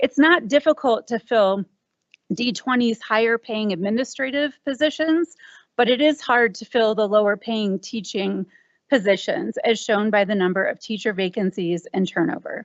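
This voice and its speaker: Lively intonation marks this woman's fairly high voice. She keeps a moderate pace. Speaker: parent speaking at public comment. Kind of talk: prepared public comment at school board meeting. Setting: school board meeting.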